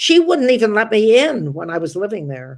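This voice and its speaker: Recorded very cleanly against a silent background, a woman with a fairly high pitch and vocal fry makes very wide pitch swings. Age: 80s+. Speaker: stand-up comedian. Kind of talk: interview answer.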